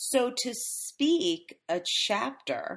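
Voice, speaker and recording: On a very clean recording with a silent background, a woman's pitch swings very widely. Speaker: podcast host and book coach. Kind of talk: solo podcast instruction. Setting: studio podcast recording. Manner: casual with fillers.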